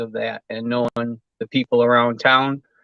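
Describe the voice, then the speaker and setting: At a moderate pace, a man speaks with an Upper Midwest accent. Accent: Upper Midwest American. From Michigan. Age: 60s. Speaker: home builder. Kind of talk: interview. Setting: live stream.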